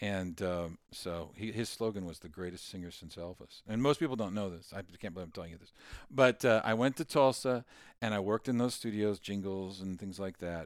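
An unremarkable speaking voice in an American accent, at a fairly quick pace with ordinary pitch variation and big swings in loudness, on a very clean recording with a silent background. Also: man, fairly low pitch for a man. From Kansas, US Midwest. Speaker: songwriter and inventor. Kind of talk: casual interview.

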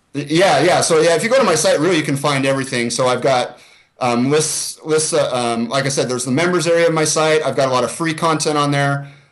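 Audible room echo surrounds a man with a fairly high pitch. He speaks at a fairly quick pace with fairly even intonation. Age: 40s. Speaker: exercise science researcher and coach. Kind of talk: interview.

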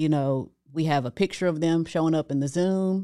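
Recorded very cleanly with a silent background, a woman with a very deep, low pitch speaks with ordinary pitch variation. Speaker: business coach. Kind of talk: casual chat. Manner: soft-spoken.

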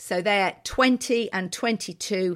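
In a very clean recording with a silent background, a woman speaks with a British accent. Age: 50s. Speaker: interiors podcast co-host. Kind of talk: casual chat.

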